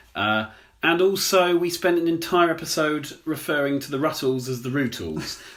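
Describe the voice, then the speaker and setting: The speaker is a man. He talks at a moderate pace with lively intonation. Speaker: podcast co-host. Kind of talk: casual chat. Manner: halting.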